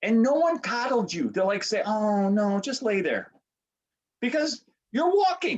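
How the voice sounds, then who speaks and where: A man talks at an extremely high pitch. He goes at a fairly slow pace with very wide pitch swings. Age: 60s. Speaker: business coach. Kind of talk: podcast interview.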